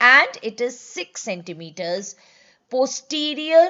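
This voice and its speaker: A woman speaks with a strong Indian accent. Her pitch swings very widely. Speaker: medical exam teacher, gynaecologist. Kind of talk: online lecture. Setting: live online class.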